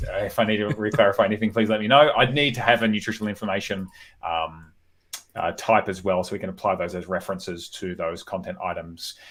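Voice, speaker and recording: On a very clean recording with a silent background, a man in an Australian accent talks at a very fast pace with a fairly low pitch and ordinary pitch variation. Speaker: developer live-coding on stream. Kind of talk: live coding stream. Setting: live stream.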